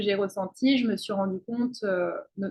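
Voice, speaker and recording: At a fairly slow pace, a woman talks with fairly even intonation. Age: 20s. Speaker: student and intuitive coach. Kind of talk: interview. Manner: halting, many fillers.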